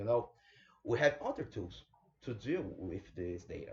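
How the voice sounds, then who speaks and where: In a Brazilian Portuguese accent, a man talks in a somewhat breathy voice. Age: 30s. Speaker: bioinformatics specialist. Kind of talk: online lecture presentation.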